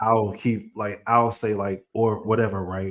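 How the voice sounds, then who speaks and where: A man with a fairly low pitch at a fairly slow pace. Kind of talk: casual chat. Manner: uses many filler words.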